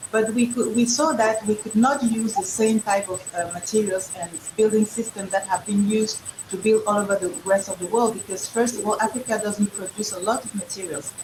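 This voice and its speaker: A woman with a French accent, fairly high-pitched, at a fairly quick pace with fairly even intonation, amid noticeable background noise. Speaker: entrepreneur. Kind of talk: panel discussion. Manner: halting.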